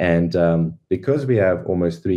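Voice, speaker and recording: A man with a very deep, low pitch in a South African accent at a moderate pace. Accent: Afrikaans-accented English. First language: Afrikaans. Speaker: NFT project founder. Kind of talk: podcast interview. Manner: hesitant, many fillers.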